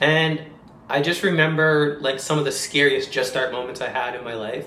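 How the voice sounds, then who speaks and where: Speaking at a fairly quick pace with a Canadian accent, a man keeps his intonation fairly even. Audible room echo and noticeable background noise are present. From Canada, Toronto. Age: 30s. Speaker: vlogger and dancer. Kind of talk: casual vlog monologue. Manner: fast.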